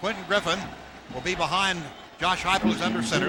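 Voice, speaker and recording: The voice has lively intonation, and noticeable background noise runs underneath. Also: man. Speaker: radio sports play-by-play announcer. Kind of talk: live radio football play-by-play. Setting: broadcast booth radio, recorded from radio. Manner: fast, energetic.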